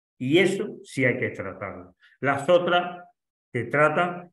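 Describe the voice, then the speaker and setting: A man at a very slow pace, with ordinary pitch variation and audible room echo. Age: 70s. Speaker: doctor giving a course lecture. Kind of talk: lecture Q&A. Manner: halting.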